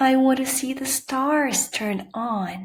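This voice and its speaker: A woman puts on a character voice at a high pitch. She delivers it at a very slow pace. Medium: read story. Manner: soft, wondering.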